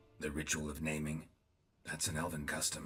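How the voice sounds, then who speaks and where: A man puts on a character voice. It is raspy and very deep and low. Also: fairly quick pace. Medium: video game. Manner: terse, dry.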